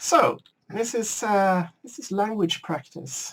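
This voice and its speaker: A woman speaks with a Swedish accent. Her voice is somewhat breathy. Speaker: gaming video creator. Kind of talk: casual gameplay commentary. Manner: halting. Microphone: slightly poor sound settings.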